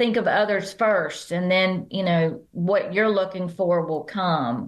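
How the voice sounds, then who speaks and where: A woman speaks with a Southern accent. The background is quiet. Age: 70s. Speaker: business founder and author. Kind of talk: podcast interview.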